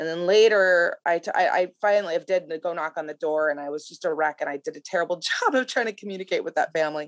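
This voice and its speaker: In an American accent, a woman talks at a very fast pace with a fairly low pitch. The sound is dry and close, with no echo. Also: ordinary pitch variation. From US Midwest, La Crosse, Wisconsin. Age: 40s. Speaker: former TV journalist and mother. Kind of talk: casual interview conversation.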